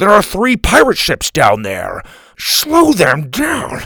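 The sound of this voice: A man puts on a character voice, high-pitched and fairly bright with vocal fry and a slightly husky edge. He talks at a slow pace with very wide pitch swings.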